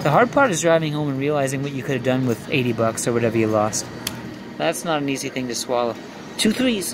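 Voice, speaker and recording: Noticeable background noise sits behind a man's voice. He talks at a very fast pace with ordinary pitch variation. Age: 50s. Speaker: video poker vlogger. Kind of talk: casual live gameplay commentary. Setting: casino. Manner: animated. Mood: wry, reflective about losses. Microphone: phone near.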